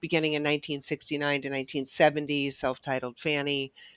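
A woman's very deep, low pitch in a very clean recording with a silent background and a dry, close sound with no echo. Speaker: co-host, academic. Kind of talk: casual podcast chat.

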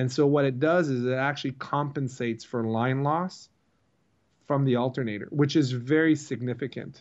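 A man with an American accent in a normal speaking voice, medium pitch, moderate pace and fairly even intonation. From US/Canada Eastern Seaboard. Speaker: marine electrical business owner. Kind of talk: interview.

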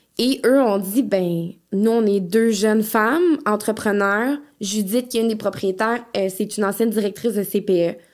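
In a Quebec accent, a woman with a fairly high pitch and ordinary pitch variation speaks at a fairly slow pace and very even loudness, on a very clean recording with a silent background. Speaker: licensed practical nurse and home postpartum care entrepreneur. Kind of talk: casual interview.

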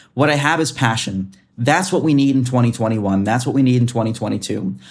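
A man talks at a very fast pace with a medium pitch, his tone animated. His intonation is lively, and music plays in the background. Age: 20s. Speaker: meteorologist. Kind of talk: interview. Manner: halting.

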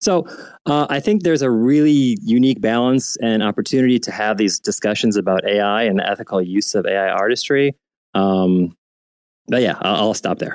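A man uses an ordinary speaking voice at a medium pitch and moderate pace, with ordinary pitch variation. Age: 30s. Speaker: photographer and artist. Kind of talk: casual chat. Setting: online audio room.

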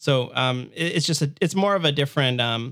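Here a man with a Canadian accent uses a plain, everyday voice, fairly high in pitch with ordinary variation. The recording is very clean and the background silent. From Ontario, Canada (Hamilton/Toronto area). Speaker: web developer and course teacher. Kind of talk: casual interview chat.

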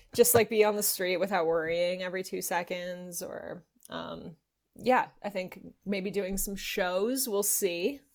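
A woman with an American accent and an unremarkable speaking voice speaks at a fairly slow pace, her pitch medium and her intonation fairly even. Her loudness swings widely, and the recording is very clean with a silent background. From Los Angeles. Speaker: voice actor and comedian. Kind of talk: casual interview.

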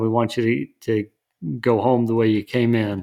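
A man speaks in an unremarkable speaking voice at a medium pitch. His intonation is fairly even on a very clean recording with a silent background. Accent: American. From West Texas. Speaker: lawyer. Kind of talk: casual chat.

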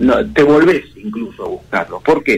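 This is a man talking. His pace is fairly quick. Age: 40s. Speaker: communication consultant. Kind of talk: interview.

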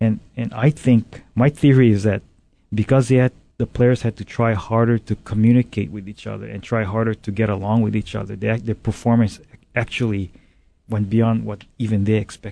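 In a dry, close recording with no echo, a man with a dark, mellow tone and fairly low pitch speaks at a moderate pace with fairly even intonation. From Hawaii, Big Island plantation community. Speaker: business owner. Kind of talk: interview. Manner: halting.

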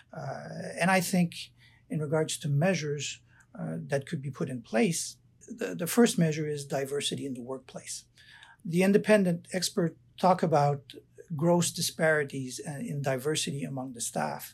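In a French Canadian accent, a man speaks with lively intonation at a fairly high pitch. His voice comes across somewhat breathy. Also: moderate pace. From Canada, Quebec. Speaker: prosecutor, ICC candidate. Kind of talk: job interview-style Q&A. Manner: hesitant, many fillers.

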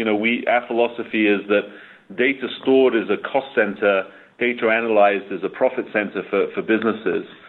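At a fairly quick pace, a man talks with a medium pitch and fairly even intonation. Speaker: technology executive. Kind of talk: interview. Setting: remote call.

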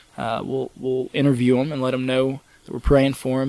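A man talks fairly quickly with a monotone, flat intonation while noticeable background noise continues. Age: 20s. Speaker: missionary. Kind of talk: interview. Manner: hesitant with frequent fillers.

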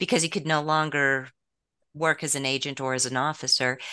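A woman with an American accent has a very deep, low pitch. Her tone is bright and sharp against a quiet background. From US West. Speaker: author. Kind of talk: interview.

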